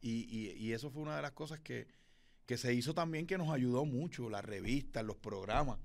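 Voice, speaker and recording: Speaking at a moderate pace with lively intonation, a man uses an unremarkable speaking voice at a medium pitch. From Puerto Rico, Fajardo (east coast). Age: 40s. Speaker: radio announcer and event emcee. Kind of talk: interview. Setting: recording studio.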